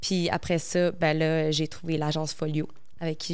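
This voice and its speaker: Over a quiet background, a woman speaks in a very deep, low pitch with monotone, flat intonation. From Quebec. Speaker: model and content creator. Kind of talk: casual chat. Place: studio. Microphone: handheld.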